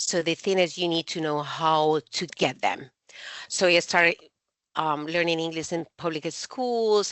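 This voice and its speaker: A woman's fairly low voice, fairly even in intonation and fairly slow in pace. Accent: Spanish. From Colombia. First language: Spanish. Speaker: university administrator. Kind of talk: interview. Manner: halting.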